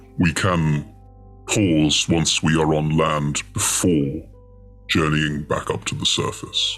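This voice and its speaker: A man's put-on character voice, very deep and low, fairly slow, over clear music in the background. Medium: actual play. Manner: slow, formal, speaks as "we".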